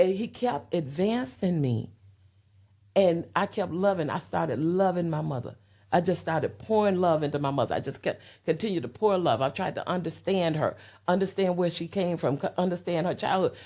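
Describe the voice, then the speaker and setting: A woman's fairly low, dark and mellow voice in a Southern US accent, with ordinary pitch variation at a moderate pace, in a very clean recording with a silent background. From US South (Florida, Alabama, Tennessee). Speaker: interview guest. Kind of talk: personal testimony in interview. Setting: podcast interview.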